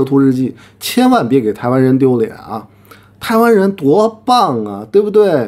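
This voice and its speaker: The delivery is fairly slow. Pitch swings very widely throughout. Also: man. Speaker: commentator. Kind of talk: heated rant. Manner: aggressive, confrontational. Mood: sarcastic, mocking. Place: home room.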